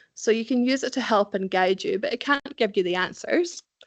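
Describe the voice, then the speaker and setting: Speaking at a fairly quick pace with a Scottish accent, a woman is heard against a quiet background in a dry, close sound with no echo. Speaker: recruitment specialist. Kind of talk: presentation. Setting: event with live and online audience.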